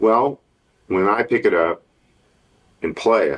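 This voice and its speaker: With a Texan accent, a man speaks at a fairly slow pace. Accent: Texan American. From Texas, Dallas area. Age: 70s. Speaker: guitar maker and guitarist. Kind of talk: interview.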